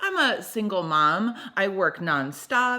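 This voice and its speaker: This woman speaks loudly, with a bright, sharp tone and a medium pitch. Her delivery is animated, with lively intonation. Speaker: podcast host. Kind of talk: casual chat.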